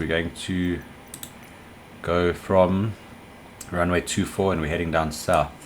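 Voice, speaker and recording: Someone mumbles against noticeable background noise. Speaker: flight sim streamer. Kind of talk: gameplay commentary. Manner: mumbling.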